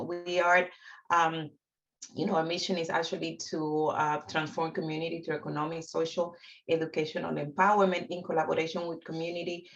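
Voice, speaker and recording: A woman with a Dominican accent speaks at a fairly quick pace, her fairly low pitch held to a fairly even intonation. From Dominican Republic. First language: Spanish. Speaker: housing counseling agency founder. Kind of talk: webinar presentation.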